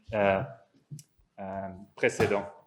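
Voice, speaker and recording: A man speaks at a very slow pace with a non-native accent. Room echo is audible. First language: not French (speaking French). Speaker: psychologist and professor. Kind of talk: conference talk. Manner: halting, many hesitations and repetitions.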